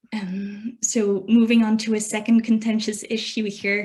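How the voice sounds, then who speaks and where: This woman's voice is fairly high in pitch and somewhat breathy. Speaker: academic presenter. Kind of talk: presentation. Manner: fast.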